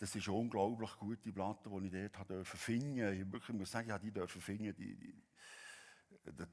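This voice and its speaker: With a Swiss accent, this man speaks in a fairly low voice. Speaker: pastor. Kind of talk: sermon.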